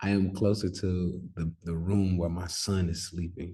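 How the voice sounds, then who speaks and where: This man has a very deep, low pitch. His tone is dark and mellow, and somewhat breathy. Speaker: stock and crypto trader, trading educator. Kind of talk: casual vlog-style talk to viewers. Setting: on the road, near sleeping son's room. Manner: soft-spoken.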